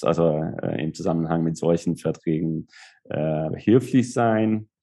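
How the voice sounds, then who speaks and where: A man with a Hungarian accent speaks at a very deep, low pitch. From southern Hungary, Szeged. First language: Hungarian (speaking German). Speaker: lawyer. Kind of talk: interview. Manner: halting.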